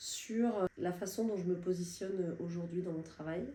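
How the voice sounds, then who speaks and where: Noticeable background noise sits behind a woman speaking at a medium pitch. She keeps a moderate pace with ordinary pitch variation. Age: 60s. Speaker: client giving a testimonial. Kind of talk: testimony. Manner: hesitant, many fillers.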